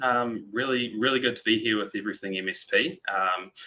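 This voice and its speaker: A man speaks with a New Zealand accent. His tone is bright and sharp. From New Zealand, Christchurch. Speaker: sales representative for backup software. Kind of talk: webinar presentation.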